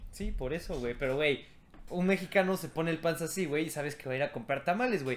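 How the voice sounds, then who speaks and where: Very rapid male speech, pitched fairly high, its pitch moving in an ordinary way. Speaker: podcast co-host. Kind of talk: casual chat.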